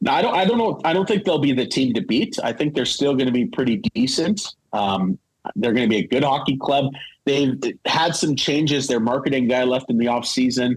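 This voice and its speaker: Talking at a fairly quick pace with a Canadian Prairie accent, a man uses lively intonation while holding a very even loudness. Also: medium pitch for a man. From Manitoba, Canada (Winnipeg). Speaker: hockey play-by-play broadcaster. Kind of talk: casual podcast interview.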